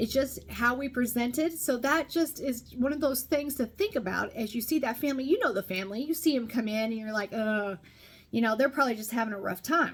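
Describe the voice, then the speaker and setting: The speaker has an American accent. The delivery moves at a fairly quick pace. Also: woman, high pitch for a woman, ordinary pitch variation. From Nebraska, US. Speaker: podcast host. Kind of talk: personal testimony podcast. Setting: not in regular studio.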